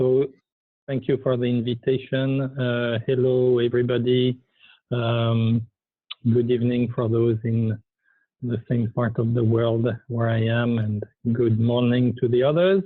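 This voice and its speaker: A man with a French accent, medium pitch, monotone, flat intonation and very even loudness, at a fairly slow pace. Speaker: initiative coordinator. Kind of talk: presentation. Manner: halting.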